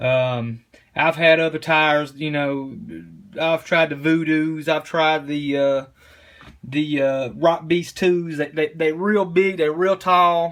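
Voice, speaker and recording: In a strong East Tennessee accent, a man speaks at a very slow pace, his fairly high pitch carried by fairly even intonation. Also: very clean recording, silent background. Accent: thick East Tennessee. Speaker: RC crawler hobbyist. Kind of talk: tutorial. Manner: halting, many fillers and repeats; casual.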